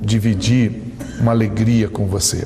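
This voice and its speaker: Medium pitch from a man, with audible room echo and noticeable background noise. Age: 60s. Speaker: preacher. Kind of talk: sermon. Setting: church.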